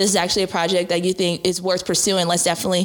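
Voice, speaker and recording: Over a very clean recording with a silent background, a woman with an American accent speaks in a monotone, flat intonation. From Long Beach, California, US. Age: 20s. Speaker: model and actress. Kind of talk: interview. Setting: studio. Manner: casual, filler-heavy.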